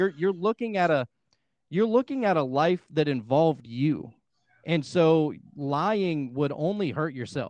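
A man with an American accent speaks at a fairly slow pace and a fairly high pitch. His is a plain, everyday voice. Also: lively intonation. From Pittsburgh, US. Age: 20s. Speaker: podcaster and hypnotherapist. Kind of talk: casual chat.

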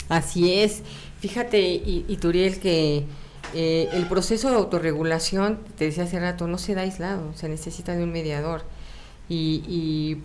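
A woman's fairly low pitch at a fairly slow pace, fairly even intonation, audible room echo, and noticeable background noise. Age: 40s. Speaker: teacher. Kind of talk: casual interview.

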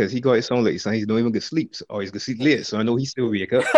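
A man with a Barbadian accent at a medium pitch, very fast in pace, with fairly even intonation. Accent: Bajan (Barbadian). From Barbados, St. George. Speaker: footballer. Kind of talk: casual chat.

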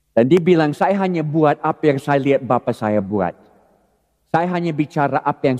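A normal speaking voice, this man's is fairly high in pitch, with lively intonation at a moderate pace and a dry, close sound with no echo. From California, US. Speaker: pastor. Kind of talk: sermon. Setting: church.

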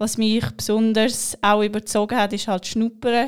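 In a very clean recording with a silent background, a woman speaks at a fairly high pitch with monotone, flat intonation. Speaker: bank apprentice. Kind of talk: podcast interview. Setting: studio.

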